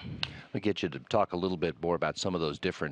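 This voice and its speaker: Recorded with a dry, close sound with no echo, a man speaks with vocal fry at a very deep, low pitch. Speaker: NASA public affairs commentator. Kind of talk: TV interview host.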